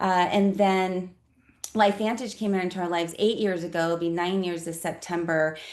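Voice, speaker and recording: Someone with a General American accent speaks at a moderate pace in a monotone, flat intonation, with audible room echo around the voice. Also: woman, medium pitch for a woman. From Colorado. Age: 50s. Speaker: network marketing presenter. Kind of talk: business presentation.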